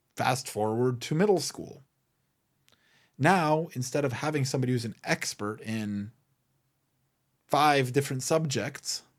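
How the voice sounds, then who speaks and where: A man with a non-native accent speaks at a fairly slow pace, pausing long and often. His pitch varies in an ordinary way on a very clean recording with a silent background. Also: medium pitch for a man. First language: not English. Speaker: podcast host and memorabilia business owner. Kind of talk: solo podcast monologue.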